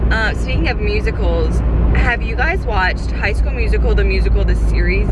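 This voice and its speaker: A woman's voice sounds dry with no echo over loud background noise. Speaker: vlogger. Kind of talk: casual vlog chat. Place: car. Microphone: phone near.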